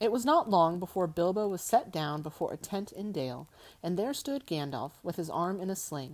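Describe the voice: Someone reads aloud plainly with lively intonation.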